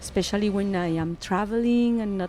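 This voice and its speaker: The speaker has a Spanish accent and fairly even intonation. The pace is fairly slow, with noticeable background noise. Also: woman. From Colombia. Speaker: musician. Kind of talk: interview. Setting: radio studio.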